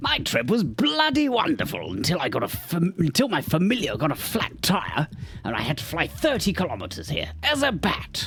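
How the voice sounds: A man's put-on character voice in a British accent, at a moderate pace.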